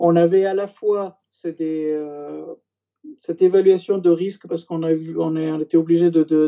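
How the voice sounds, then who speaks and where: A man's high pitch at a fairly slow pace, with monotone, flat intonation. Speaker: former intelligence general. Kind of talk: interview testimony. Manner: halting, many hesitations.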